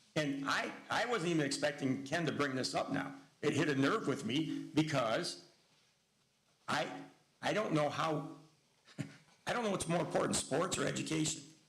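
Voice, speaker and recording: A man with a fairly high pitch speaks at a moderate pace with very even loudness and long, frequent pauses, amid audible room echo. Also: ordinary pitch variation. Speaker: school board member. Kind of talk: heated debate. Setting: public board meeting.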